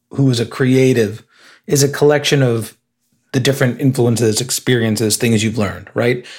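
With an American accent, a man talks at a medium pitch and sounds somewhat breathy. His pitch varies in an ordinary way. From Illinois. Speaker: advertising creative director. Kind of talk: interview conversation.

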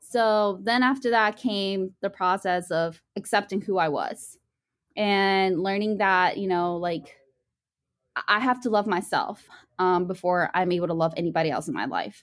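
In an ordinary speaking voice with an American accent, a woman talks at a medium pitch and moderate pace with ordinary pitch variation, on a very clean recording with a silent background. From Virginia, US. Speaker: student and nonprofit founder. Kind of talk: interview conversation.

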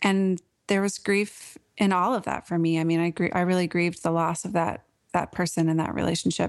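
A woman with a normal speaking voice and an American accent, fairly low pitched, at a fairly quick pace with fairly even intonation, over a quiet background. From US Pacific Northwest (Portland, Oregon). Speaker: author and writing coach. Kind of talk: podcast interview.

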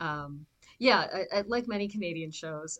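Speaking at a moderate pace, a woman uses an ordinary speaking voice pitched fairly low. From southern Ontario, Canada. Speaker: actor and podcast co-host. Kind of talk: casual chat.

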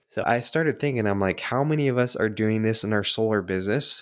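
On a very clean recording with a silent background, a man speaks at a fairly quick pace in a medium pitch with ordinary pitch variation. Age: 30s. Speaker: podcast host. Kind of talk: casual solo podcast monologue. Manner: animated.

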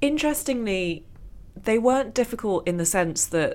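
A woman speaks in a plain, everyday voice. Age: 40s. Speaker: author and journalist. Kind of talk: casual chat.

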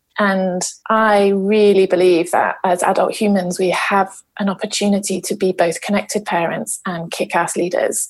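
A woman's medium-pitched voice, monotone and flat, at a moderate pace with hardly any pauses. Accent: South London. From South London, England. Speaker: parenting and leadership coach. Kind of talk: casual podcast interview.

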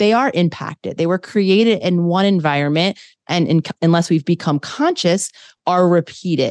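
With an American accent, a woman uses an ordinary speaking voice of medium pitch and ordinary pitch variation, the sound dry and close with no echo against a quiet background. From US, Philadelphia. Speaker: clinical psychologist. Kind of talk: interview conversation.

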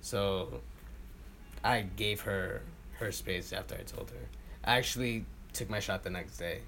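With a New York accent, a man talks at a fairly slow pace, leaving long, frequent pauses amid audible room echo. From Queens, New York City. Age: 20s. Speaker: oral history interviewee. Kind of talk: interview.

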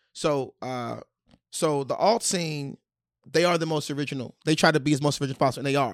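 A man with a fairly high voice and ordinary pitch variation talks at a very fast pace on a very clean recording with a silent background. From Washington DC. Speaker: stand-up comedian. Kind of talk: casual chat. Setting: studio.

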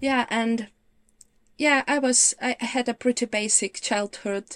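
On a very clean recording with a silent background and a dry, close sound free of echo, a woman speaks fairly slowly with ordinary pitch variation. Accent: Ukrainian. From Ukraine. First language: Ukrainian. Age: 30s. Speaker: visual practitioner. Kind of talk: interview chat.

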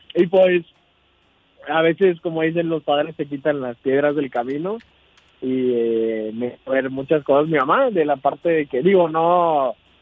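This man has a normal speaking voice, pitched fairly high, with ordinary pitch variation and a moderate pace. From Veracruz, Mexico. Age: 20s. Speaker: nursing graduate, caller. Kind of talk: phone-in chat.

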